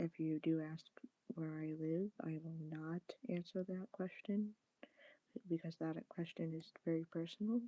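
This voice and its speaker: A soft-spoken woman talks at a fairly slow pace with fairly even intonation and a dark, mellow tone. The sound is dry and close with no echo. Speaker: live streamer. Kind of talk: casual chat. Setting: live stream.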